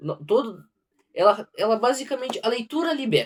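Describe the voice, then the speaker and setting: A man in a strong southern Brazilian accent, with very wide pitch swings at a moderate pace. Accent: heavy southern Brazilian. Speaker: book reader, channel owner. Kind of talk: casual talk to camera; reading aloud. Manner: halting, self-correcting.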